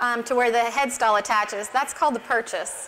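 With an American accent, a woman talks in a fairly high voice and fairly even intonation. Light background noise runs behind her. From Montana. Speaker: barrel racer and horsemanship clinician; presenter. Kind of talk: tutorial. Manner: halting. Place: stage. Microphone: lapel.

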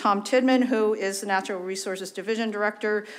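Her intonation holds fairly even. The woman's voice sits at a medium pitch. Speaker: town committee presenter. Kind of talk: public presentation. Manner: fast.

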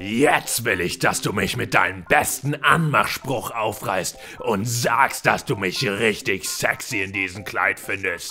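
Clear background noise runs under the recording. A man uses a cartoonish character voice at a medium pitch. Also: fairly slow pace. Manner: bossy, aggressive.

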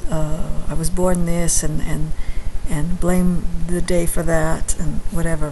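A woman speaks over light background noise. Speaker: astrology vlogger. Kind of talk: casual vlog chat. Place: home room. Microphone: webcam.

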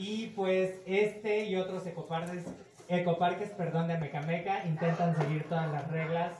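At a moderate pace, a man with a high voice talks with fairly even intonation over light background noise. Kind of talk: welcome speech. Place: cafe.

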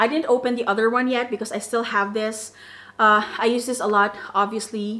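Her intonation is monotone and flat. The woman speaks at a moderate pace with a fairly high pitch. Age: 30s. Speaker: fragrance YouTuber. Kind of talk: product review vlog. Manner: casual, filler-heavy.

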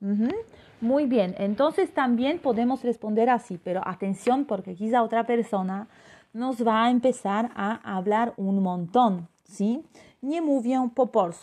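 A woman with a Polish accent speaks fairly slowly in a fairly high voice with a dark, mellow tone. Her pitch varies in an ordinary way, her loudness swings widely, and the background stays quiet. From Poland. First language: Polish (speaking Spanish). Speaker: language teacher. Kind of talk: live online class. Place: home room. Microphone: phone near.

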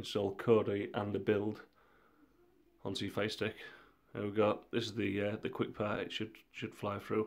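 Over a very clean recording with a silent background, a man speaks at a moderate pace in a fairly low, monotone, flat voice, leaving long, frequent pauses. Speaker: tech tutorial youtuber. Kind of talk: tutorial.

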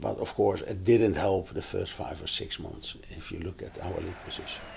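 A man is heard against light background noise. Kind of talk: interview answer. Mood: relaxed, reflective.

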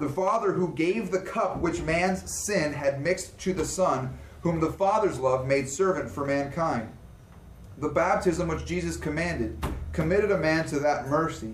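There is audible room echo and light background noise as a man talks with ordinary pitch variation. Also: moderate pace. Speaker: class teacher. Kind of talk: reading aloud in a lecture. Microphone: camera far.

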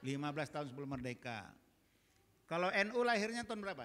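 Here a man speaks at a moderate pace in a high pitch with lively intonation. His tone is animated, bright and sharp. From Medan, North Sumatra (Batak); North Sumatra, Indonesia. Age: 60s. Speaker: Islamic preacher, retired diplomat; Islamic preacher. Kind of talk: sermon to women's study group. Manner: animated, direct, joking with audience. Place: church. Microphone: handheld.

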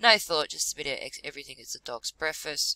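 At a fairly quick pace, a woman talks with a dry, close sound and no echo. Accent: Australian. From Australia. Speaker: vlogger. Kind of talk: reading aloud. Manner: halting.

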